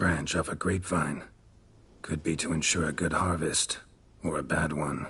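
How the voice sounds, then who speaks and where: Using a put-on character voice, a man speaks at a moderate pace with a very deep, low pitch and long, frequent pauses. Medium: video game. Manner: terse, low, deadpan.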